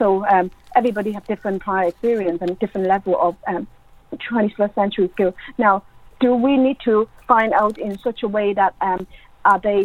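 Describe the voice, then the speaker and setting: A woman with an Irish accent speaks fairly quickly at a medium pitch with fairly even intonation. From Ireland. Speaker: education academic. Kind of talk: interview.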